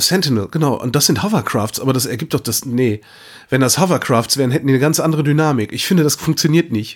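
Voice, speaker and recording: Speech races at a very fast pace in a very clean recording with a silent background. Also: man, fairly high pitch for a man, ordinary pitch variation. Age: 40s. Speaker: radio host and podcaster. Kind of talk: casual chat.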